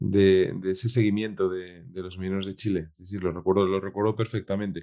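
The man's voice has a dark, mellow tone. Behind him the background is quiet. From Spain, Asturias (Piedras Blancas). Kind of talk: interview conversation. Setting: remote call. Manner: hesitant, repeats words.

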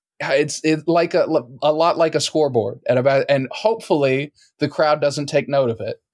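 With an American accent, a man talks at a moderate pace in a fairly high pitch with ordinary pitch variation. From Texas. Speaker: comedian. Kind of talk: casual chat. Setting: video call. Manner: halting.

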